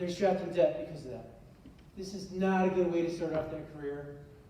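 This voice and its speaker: A man speaks at a high pitch. Noticeable background noise and audible room echo fill the recording. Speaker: high school teacher. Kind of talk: presentation.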